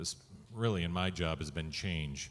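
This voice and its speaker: A plain, everyday voice from a man, at a moderate pace with ordinary pitch variation. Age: 60s. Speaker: radio executive. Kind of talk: panel discussion.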